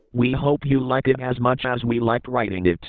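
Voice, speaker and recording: At a fairly quick pace, a man does a cartoonish character voice in a medium pitch. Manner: flat, neutral.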